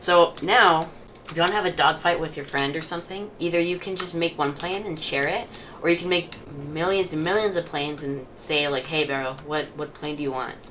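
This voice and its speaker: Against noticeable background noise, a woman with a fairly low pitch talks at a fairly quick pace with ordinary pitch variation. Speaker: gaming youtuber. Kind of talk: tutorial. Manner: casual, many fillers.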